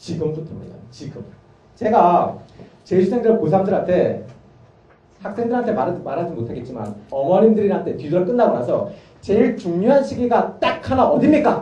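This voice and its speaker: A man at a high pitch with very wide pitch swings, a moderate pace, and audible room echo. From Gangwon, Korea (Gangneung). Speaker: math academy teacher. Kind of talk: parent information session talk. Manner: animated.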